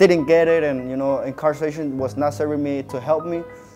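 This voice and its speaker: A man talks with ordinary pitch variation while faint music sits in the background. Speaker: interviewee. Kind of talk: interview answer. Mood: calm, reflective. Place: studio. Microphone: lapel.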